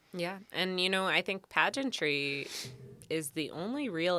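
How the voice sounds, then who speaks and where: A woman at a fairly slow pace, on a very clean recording with a silent background. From Canada, Vancouver Island. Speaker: pageant contestant and boudoir photographer. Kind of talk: podcast interview.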